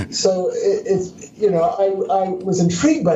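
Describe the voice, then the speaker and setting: A man's high-pitched voice in an American accent, with noticeable background noise and audible room echo. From US Northeast (Pennsylvania). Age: 70s. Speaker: entrepreneur and author. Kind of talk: interview.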